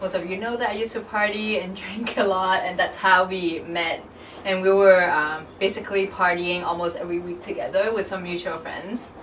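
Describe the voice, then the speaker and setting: A woman's medium-pitched voice with fairly even intonation, amid audible room echo and noticeable background noise. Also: moderate pace. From Hong Kong. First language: Cantonese. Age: 20s. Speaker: YouTuber and fitness vlogger. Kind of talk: scripted vlog talk to camera; casual chat.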